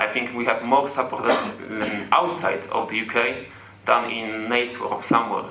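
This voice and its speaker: A man with a non-native accent, medium pitch and fairly even intonation at a moderate pace, with noticeable background noise and audible room echo. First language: not English. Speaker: football fan. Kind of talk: fan Q&A comment. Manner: halting.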